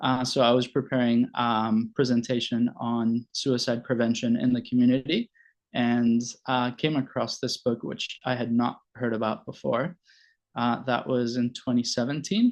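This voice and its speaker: Here a man talks at a moderate pace. His intonation is monotone and flat. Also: medium pitch for a man. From Venezuela, Caracas. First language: Spanish. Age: 40s. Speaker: family doctor and logotherapy presenter. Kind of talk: presentation. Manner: halting, many fillers.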